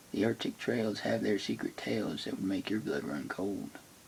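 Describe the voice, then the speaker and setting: Soft-spoken, a man talks in a fairly low voice. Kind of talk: poetry reading.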